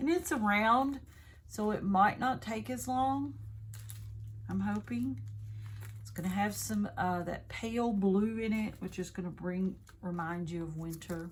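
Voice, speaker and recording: A woman with a Southern US accent speaks at a fairly slow pace with long, frequent pauses and a fairly low, somewhat breathy voice. Her pitch swings very widely, and room echo is audible. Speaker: craft video creator. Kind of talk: product unboxing review. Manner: casual, chatty.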